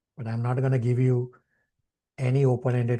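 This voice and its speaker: Over a quiet background, a man talks very fast in a dark, mellow, somewhat breathy tone. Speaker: spiritual teacher. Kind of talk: online class with discussion.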